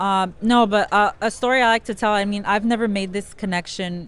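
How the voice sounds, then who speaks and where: In a very clean recording with a silent background, a woman with a plain, everyday voice speaks at medium pitch and a moderate pace. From South Central Los Angeles. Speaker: sports card breaker, former teacher. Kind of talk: interview.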